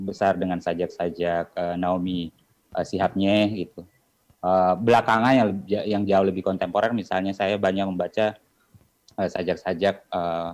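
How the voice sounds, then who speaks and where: The man's voice is very deep and low, delivered in a monotone with flat intonation. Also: moderate pace. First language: Bugis (speaking Indonesian). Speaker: poet. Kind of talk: panel discussion. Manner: halting, many fillers.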